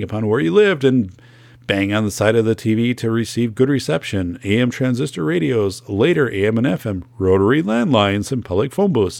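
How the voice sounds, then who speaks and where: This man has a fairly low voice and an Upper Midwest accent. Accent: Upper Midwest American. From northern Wisconsin. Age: 40s. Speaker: podcast host, school safety expert. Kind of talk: solo podcast monologue.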